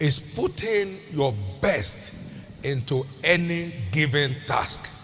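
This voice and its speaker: Against noticeable background noise, a man speaks at a very slow pace with lively intonation. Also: fairly high pitch for a man. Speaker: preacher, church bishop. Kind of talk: sermon, preaching to a congregation. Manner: emphatic, teaching, rhythmic delivery.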